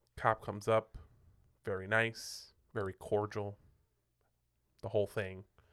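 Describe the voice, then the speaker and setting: In a very clean recording with a silent background, a man speaks in a monotone, flat intonation at a fairly low pitch and fairly slow pace, with long, frequent pauses. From Puerto Rico. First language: Spanish. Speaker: pastor, podcast co-host. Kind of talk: casual chat. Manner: halting, filler-heavy.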